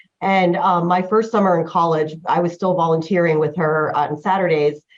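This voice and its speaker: In an American accent, a woman with an ordinary speaking voice talks at a moderate pace and a fairly low pitch, with fairly even intonation and very even loudness. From US Northeast, New Jersey. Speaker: patent lawyer. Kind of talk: interview. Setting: podcast. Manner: casual, many fillers.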